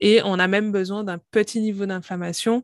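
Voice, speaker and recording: An ordinary speaking voice from a woman at a fairly slow pace with fairly even intonation, on a very clean recording with a silent background and a dry, close sound with no echo. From Guadeloupe. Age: 30s. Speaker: pharmacist and company founder. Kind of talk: interview, testimony and health explanation.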